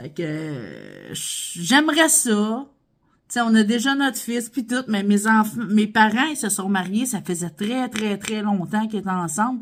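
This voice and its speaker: A woman speaks in a Quebec accent at a fairly slow pace. Her fairly high voice is somewhat breathy, with lively intonation. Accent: Québécois French. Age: 40s. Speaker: vlogger, stay-at-home mom. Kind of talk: casual Q&A vlog. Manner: animated.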